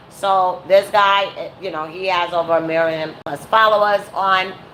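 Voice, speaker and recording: The woman's pitch sits at a medium level, with fairly even intonation. Noticeable background noise runs behind her. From New York, Brooklyn. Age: 40s. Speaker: YouTuber / live streamer. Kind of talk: casual live-stream commentary. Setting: at home, live stream.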